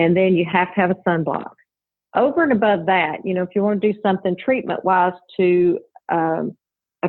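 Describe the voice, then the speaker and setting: At a fairly quick pace broken by long, frequent pauses, a woman speaks in a Southern US accent at medium pitch with fairly even intonation. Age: 50s. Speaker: registered nurse and cosmetic business owner. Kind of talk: podcast interview. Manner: calm.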